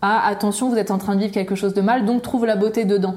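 A woman talks at a very fast pace in a medium pitch. Her intonation stays fairly even. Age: 30s. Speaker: cosmetics entrepreneur and content creator. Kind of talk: interview. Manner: halting.

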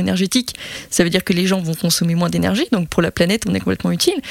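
Talking at a very fast pace, a woman sounds dry and close with no echo amid noticeable background noise. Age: 30s. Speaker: construction engineer. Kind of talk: interview. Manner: hesitant, many fillers.

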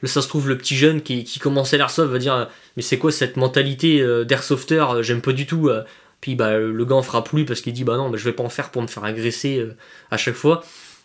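A man talks at a fairly quick pace in a medium pitch. He has a plain, everyday voice. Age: 20s. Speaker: airsoft player. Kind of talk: casual chat.

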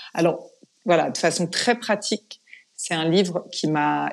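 This woman's voice sits fairly low. Her delivery is fairly slow. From France. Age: 40s. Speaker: yoga teacher. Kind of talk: interview conversation; guided breathing exercise.

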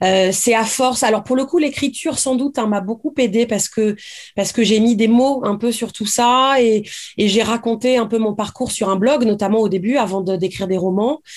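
Her voice is an unremarkable speaking voice: a woman at a moderate pace, with fairly high pitch and ordinary pitch variation. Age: 40s. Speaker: novelist. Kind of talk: interview.

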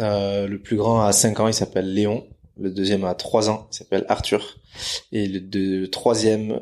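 A fairly low-pitched man at a fairly slow pace, monotone and flat in intonation. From French Basque Country, Bidart. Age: 30s. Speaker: real estate agent, former pro surfer. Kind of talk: interview. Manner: hesitant, many repetitions.

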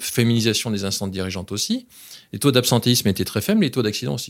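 On a very clean recording with a silent background, a man with a medium pitch speaks at a very fast pace. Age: 50s. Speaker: business executive. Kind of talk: interview.

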